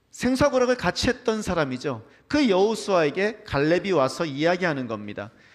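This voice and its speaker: A man talks at a fairly quick pace in a high-pitched voice with very wide pitch swings. The recording is very clean, with a silent background. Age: middle-aged. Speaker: pastor. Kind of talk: sermon. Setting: church.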